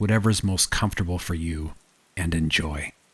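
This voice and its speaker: Very deep and low, a man's voice comes across somewhat breathy. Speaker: horror story narrator. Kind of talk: horror story narration.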